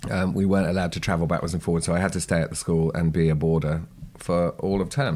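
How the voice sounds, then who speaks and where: This speaker has a British accent and ordinary pitch variation. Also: man. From Channel Islands (Sark). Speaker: horseman. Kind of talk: interview. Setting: at a kitchen table.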